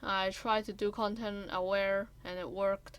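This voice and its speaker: At a very slow pace, a woman with a non-native accent speaks at a medium pitch with monotone, flat intonation. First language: not English. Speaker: gaming content creator. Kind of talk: tutorial voice-over. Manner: halting.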